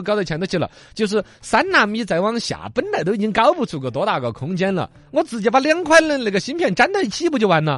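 A man with a high pitch talks very fast in an animated tone, his pitch swinging very widely. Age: 40s. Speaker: radio host. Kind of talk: casual radio talk show.

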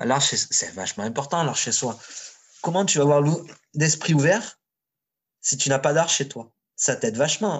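A man's somewhat breathy voice sits at a fairly high pitch. He keeps a moderate pace and ordinary pitch variation. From southern France, Marseille suburbs. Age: 40s. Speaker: street artist. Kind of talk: casual chat. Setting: internet call.

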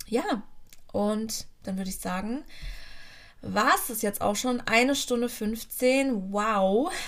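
Audible room echo surrounds a woman speaking at a very slow pace in a fairly high voice. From Germany, near Frankfurt (Hesse). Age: 30s. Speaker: podcast host. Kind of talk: personal testimony. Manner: casual, with fillers and hesitations.

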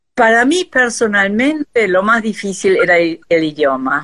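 In a German accent, a woman speaks at a very slow pace with medium pitch and lively intonation, in a dry, close sound with no echo. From Argentina, arrived from Austria as small child. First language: German (speaking Spanish). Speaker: textile artist. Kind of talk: interview.

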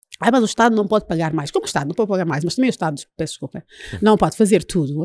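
A woman's pitch swings very widely in a dry, close sound with no echo, on a very clean recording with a silent background. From Angola, Luanda. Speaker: party leader. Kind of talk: interview.

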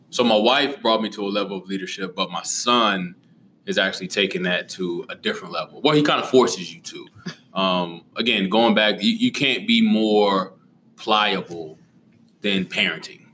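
Over noticeable background noise, a man with a fairly low voice speaks at a moderate pace with ordinary pitch variation. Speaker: high school teacher and basketball coach. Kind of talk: casual interview chat. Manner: hesitant with fillers.

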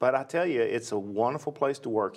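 Here a man speaks with a Tennessee accent. His pace is fairly quick and his pitch medium. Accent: Tennessee Southern US. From US South, West Nashville, Tennessee. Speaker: county parks and recreation director. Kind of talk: interview.

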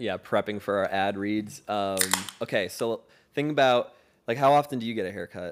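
A man with a normal speaking voice, fairly low in pitch, with ordinary pitch variation at a moderate pace. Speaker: podcast co-host. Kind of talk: casual banter.

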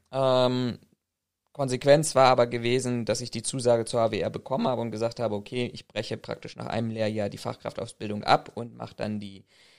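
A normal speaking voice holds a moderate pace with fairly even intonation. The recording is very clean, with a silent background. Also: man. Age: 30s. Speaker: private security professional. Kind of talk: research interview.

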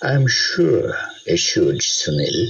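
The voice sounds natural. It is reading a text aloud.

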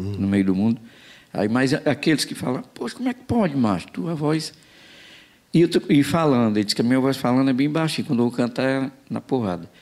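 A man with an unremarkable speaking voice talks at a fairly quick pace, his medium pitch carried by lively intonation. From Ceará, Brazil (Quixadá). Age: 50s. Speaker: forró singer. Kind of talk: casual chat.

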